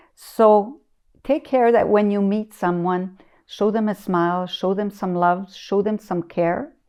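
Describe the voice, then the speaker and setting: A woman of medium pitch talks at a fairly slow pace with ordinary pitch variation. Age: 60s. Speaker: community elder. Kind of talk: interview. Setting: her living room. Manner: hesitant, many fillers.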